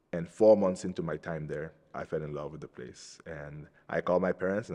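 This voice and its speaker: With a quiet background, this man's very deep, low voice moves along at a fairly quick pace, its pitch varying in an ordinary way. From Cameroon. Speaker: Capuchin friar, soon-to-be priest. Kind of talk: interview testimony. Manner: hesitant, with fillers and repeated words.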